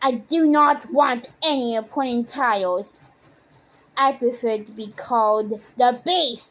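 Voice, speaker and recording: Putting on a high-pitched character voice, a woman growls in a stern tone at a fairly slow pace. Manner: stern, gruff.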